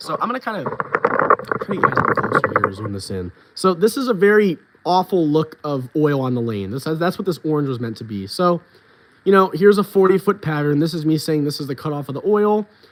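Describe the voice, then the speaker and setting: Very fast and fairly high-pitched, a man talks with very wide pitch swings over noticeable background noise. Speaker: bowling coach. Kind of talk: livestream tutorial. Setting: livestream with laptop screen share. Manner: casual, filler-heavy.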